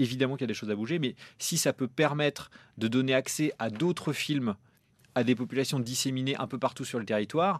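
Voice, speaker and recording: An unremarkable speaking voice from a man at medium pitch, fairly quick, with ordinary pitch variation and a dry, close sound free of echo. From France, Normandy. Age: 30s. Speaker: film producer. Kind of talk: interview.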